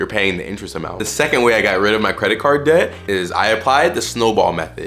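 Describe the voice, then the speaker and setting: A man talks very fast in a fairly low voice, with lively intonation and hardly any pauses. Music plays in the background, and room echo is audible. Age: 20s. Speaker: personal finance YouTuber. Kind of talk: casual tutorial to camera. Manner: casual, conversational.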